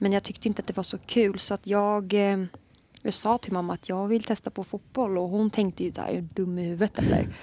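A woman talks at a fairly quick pace in a dark, mellow tone with monotone, flat intonation. The sound is dry and close with no echo, on a very clean recording with a silent background. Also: medium pitch for a woman. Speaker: football player. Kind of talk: casual chat.

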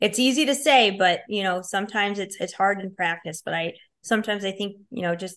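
A woman speaks in a bright, sharp tone at a medium pitch with a strong Chicago accent. The background is quiet. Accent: Chicago accent, fairly strong. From Chicago, Illinois. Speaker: hockey player advisor and business owner. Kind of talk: casual interview chat.

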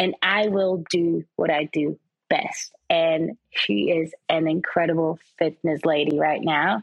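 A woman talks very slowly at a fairly low pitch, with vocal fry. Her pitch varies in an ordinary way. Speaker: presenter and fashion model. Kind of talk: casual interview chat.

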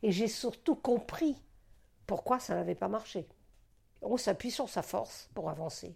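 With lively intonation and vocal fry, a woman speaks at a fairly high pitch with long, frequent pauses in a very clean recording with a silent background. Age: 80s+. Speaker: retired doctor and psychoanalyst. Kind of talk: personal testimony interview. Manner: halting; emotional.

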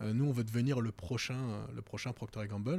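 With a dark, mellow tone, a man talks fairly quickly at medium pitch. His intonation stays fairly even. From France, Val-de-Marne (Paris region). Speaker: entrepreneur. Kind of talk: interview conversation.

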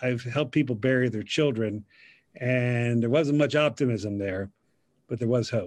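With a plain, everyday voice, a man talks at a fairly slow pace in a medium pitch with ordinary pitch variation. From US, Central Pennsylvania. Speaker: pastor. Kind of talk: casual chat.

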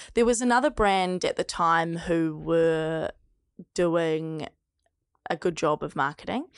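At a very slow pace, the voice sounds dry and close with no echo over a quiet background. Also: woman. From New Zealand, Mount Maunganui. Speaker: sex toy business founder. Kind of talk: casual interview.

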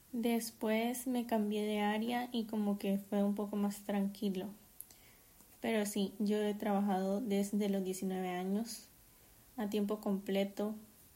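Very slowly and in a monotone, flat intonation, a woman with a dark, mellow, somewhat breathy tone speaks at medium pitch with very even loudness. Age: 20s. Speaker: podcaster and master's student. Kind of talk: casual solo monologue.

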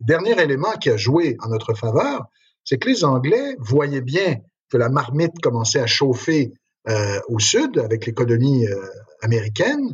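A man with a medium pitch talks at a fairly slow pace, his somewhat breathy voice holding a very even loudness while his intonation stays lively. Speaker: history professor. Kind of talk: interview.

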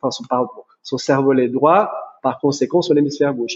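A man at a fairly quick pace. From Brazil. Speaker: chiropractor. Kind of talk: interview conversation.

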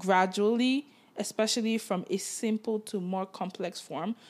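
Her voice a plain, everyday voice, a woman speaks at a medium pitch with ordinary pitch variation. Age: 20s. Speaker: podcast co-host. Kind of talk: casual chat.

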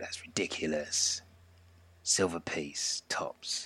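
A gruff, whispered put-on character voice at a very slow pace. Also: man. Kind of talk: indignant haggling.

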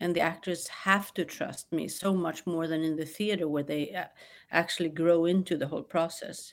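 Recorded very cleanly against a silent background, a woman with a Swedish accent speaks at a moderate pace in a fairly low pitch with monotone, flat intonation. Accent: Swedish-tinged English. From New York and Sweden. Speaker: film director. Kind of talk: interview. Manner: halting.

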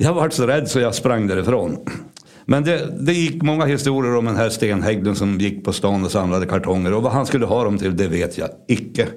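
With audible room echo, a man speaks at a moderate pace and medium pitch, his intonation lively. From Sweden, Örnsköldsvik area (Ångermanland). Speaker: local storyteller recounting childhood memories. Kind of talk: personal anecdote. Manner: casual with hesitations.

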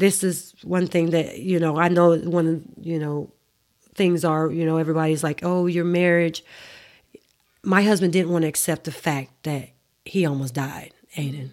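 With a Southern US accent, a woman speaks at a fairly low pitch and a moderate pace, using fairly even intonation and long, frequent pauses. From Mississippi. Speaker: mother of child with diabetes. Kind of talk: casual interview.

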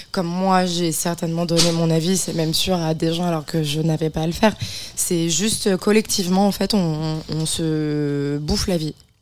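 Over noticeable background noise, a woman talks in a fairly low pitch with fairly even intonation. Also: moderate pace. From Beaujolais, France. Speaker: comedian. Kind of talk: casual chat. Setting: studio.

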